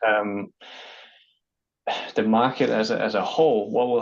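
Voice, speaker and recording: Slightly Danish-accented, a man speaks at a fairly low pitch and a fairly slow pace. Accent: good English, lighter Danish. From Denmark. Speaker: freight company business development manager. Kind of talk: online interview. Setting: online video interview. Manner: hesitant, frequent fillers and repeats.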